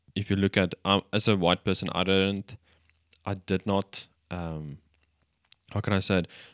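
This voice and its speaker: With an Afrikaans South African accent, a man speaks fairly slowly in a very deep, low voice with fairly even intonation. The sound is dry and close with no echo, on a very clean recording with a silent background. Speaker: church podcast co-host. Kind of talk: casual chat.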